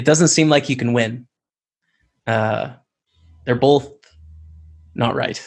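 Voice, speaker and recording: With a Canadian accent, a man speaks at a very slow pace with long, frequent pauses and vocal fry. His pitch is medium and his intonation fairly even. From Canada, Lethbridge, Alberta. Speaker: poker pro and streamer. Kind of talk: interview conversation.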